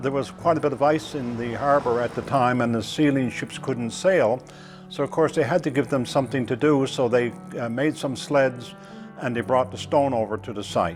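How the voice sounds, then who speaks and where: Music plays in the background as a man of medium pitch talks at a moderate pace with ordinary pitch variation. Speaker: church historian. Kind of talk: documentary interview storytelling.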